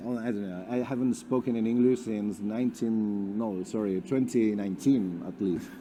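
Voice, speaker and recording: With a Spanish accent, a man talks at a moderate pace with hardly any pauses, using a fairly low pitch, ordinary pitch variation and a dark, mellow tone. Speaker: company representative. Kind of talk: presentation. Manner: halting.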